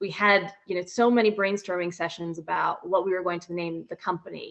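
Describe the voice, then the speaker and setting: Her fairly low pitch, an unremarkable speaking voice, carries an American accent as this woman talks at a moderate pace with fairly even intonation. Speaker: company founder and CEO. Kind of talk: interview.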